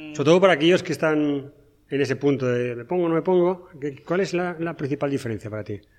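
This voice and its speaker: Speech comes at a very fast pace with big swings in loudness and ordinary pitch variation. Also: man, fairly high pitch for a man. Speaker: podcast co-host. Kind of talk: casual chat.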